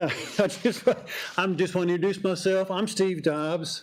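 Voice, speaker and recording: The voice comes at a moderate pace with a Kentucky accent. Noticeable background noise is present. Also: man. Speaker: trail group president. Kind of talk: prepared self-introduction at council meeting. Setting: city council meeting.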